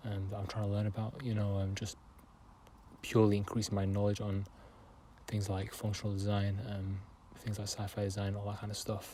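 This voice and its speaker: A man with a fairly low pitch and a dark, mellow tone talks at a moderate pace in a flat monotone, somewhat breathy, with long, frequent pauses. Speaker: artist. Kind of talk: casual talk to camera. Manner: hesitant, many fillers.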